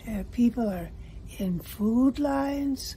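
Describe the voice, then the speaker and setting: The speaker is a woman with ordinary pitch variation. Light background noise can be heard. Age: 80s+. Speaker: voter giving testimonial. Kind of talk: interview answer. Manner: hesitant. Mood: worried, upset. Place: home room. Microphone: phone near.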